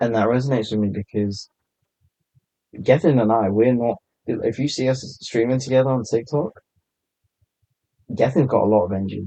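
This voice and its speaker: Speaking at a fairly quick pace with long, frequent pauses, a man with a British accent has a dark, mellow tone and ordinary pitch variation. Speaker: TikTok content creator. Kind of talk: casual chat. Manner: laid back.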